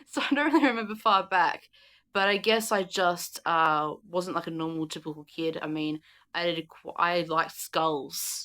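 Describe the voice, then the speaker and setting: The voice has a bright, sharp tone and an Australian accent. It moves at a moderate pace with ordinary pitch variation on a very clean recording with a silent background. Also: woman, fairly low pitch for a woman. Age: 20s. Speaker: YouTuber. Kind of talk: casual chat. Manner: halting.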